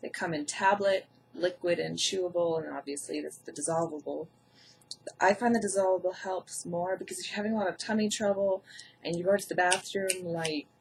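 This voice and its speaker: A woman speaks fairly quickly at medium pitch, somewhat breathy. Her intonation stays fairly even while her loudness swings widely. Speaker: health vlogger with Crohn's. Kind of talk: tutorial. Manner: casual.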